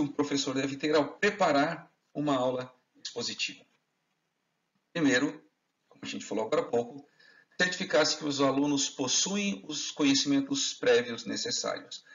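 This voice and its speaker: A man's fairly quick, fairly high-pitched speech with lively intonation, big swings in loudness and long, frequent pauses. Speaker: chemistry teaching lecturer. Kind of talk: lecture. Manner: fast.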